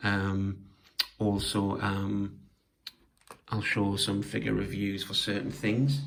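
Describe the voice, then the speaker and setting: A man with a British accent and a fairly low pitch speaks at a very slow pace, with long, frequent pauses, fairly even intonation, very even loudness and audible room echo. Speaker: toy collector and diorama maker. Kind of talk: casual show-and-tell video. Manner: hesitant, many fillers.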